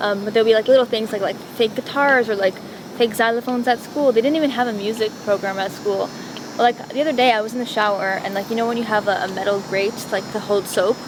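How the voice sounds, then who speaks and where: A woman with a Montreal accent at a very fast pace, fairly even intonation, and noticeable background noise. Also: fairly high pitch for a woman. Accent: Canadian English, Montreal. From Montreal, Quebec, Canada. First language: Italian. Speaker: singer-songwriter. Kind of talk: interview. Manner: casual, hesitant with fillers.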